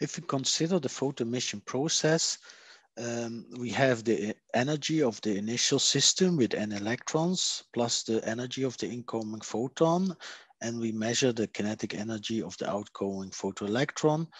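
Against a quiet background, a man talks at a moderate pace with lively intonation in a dry sound with no echo. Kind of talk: lecture.

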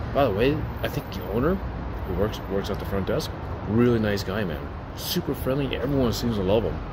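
A man whispering at a fairly quick pace, with noticeable background noise. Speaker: food reviewer. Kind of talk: casual vlog review. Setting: indoors in public building, selfie camera. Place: street. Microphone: phone near.

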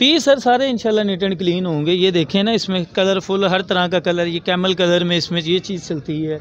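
Faint background noise sits behind a man speaking at a fairly quick pace in a high pitch with ordinary pitch variation.

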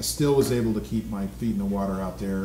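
A man talks at a very fast pace in a fairly low pitch. Clear music plays in the background, and audible room echo can be heard. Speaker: guest actor being interviewed. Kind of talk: interview answer. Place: studio.

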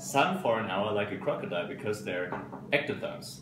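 Over noticeable background noise, a man speaks with a German accent. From Germany. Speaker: paleontologist. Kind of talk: casual self-introduction. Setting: conference room. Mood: playful, relaxed. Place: home room. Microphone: phone near.

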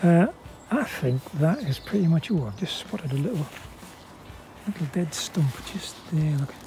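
In a British accent, a man speaks at a moderate pace with long, frequent pauses, the sound dry with no echo and light background noise. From United Kingdom. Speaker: gardener. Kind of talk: gardening tutorial talk. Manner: calm. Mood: wry, opinionated. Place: garden. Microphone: phone near.

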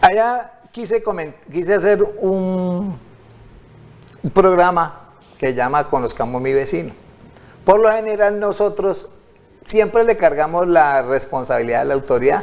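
Lively intonation at a fairly slow pace, broken by long, frequent pauses. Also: man, high pitch for a man. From Colombia, Tuluá (Valle del Cauca); Valle del Cauca, Colombia. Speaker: local council candidate; council candidate. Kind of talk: TV interview. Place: studio. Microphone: lapel.

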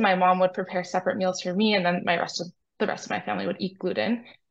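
A woman with an American accent. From US Northeast, New York City. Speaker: clinical research coordinator. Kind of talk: interview. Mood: calm, friendly. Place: home room. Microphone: video call.

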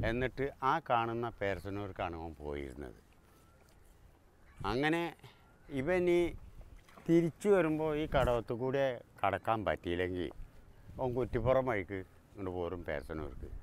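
A man's voice makes very wide pitch swings in a dry sound with no echo, over light background noise. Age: 70s. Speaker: ferryman. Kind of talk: documentary interview answer. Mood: warm, relaxed.

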